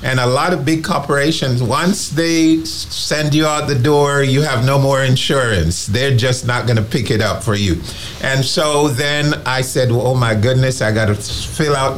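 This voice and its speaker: A man speaks at a moderate pace with very even loudness. The recording has noticeable background noise and audible room echo. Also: medium pitch for a man, ordinary pitch variation, hardly any pauses. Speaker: retiree activist. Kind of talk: testimony. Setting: studio. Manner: animated.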